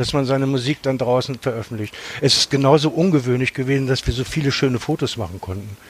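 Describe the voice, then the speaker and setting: Talking at a very fast pace, a man keeps to a medium pitch. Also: ordinary pitch variation. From Germany, Hannover. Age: 60s. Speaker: punk singer. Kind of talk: casual chat.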